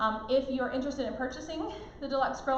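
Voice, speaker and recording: A woman speaks at a high pitch with fairly even intonation. Noticeable background noise and audible room echo fill the recording. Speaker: cooking product consultant. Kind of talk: live product demonstration. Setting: live stream. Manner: fast.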